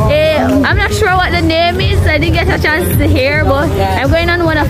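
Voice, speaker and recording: Clear music plays in the background as a woman speaks at a fairly slow pace in a dry sound with no echo. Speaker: travel vlogger. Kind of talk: casual vlog chat. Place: street. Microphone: phone near.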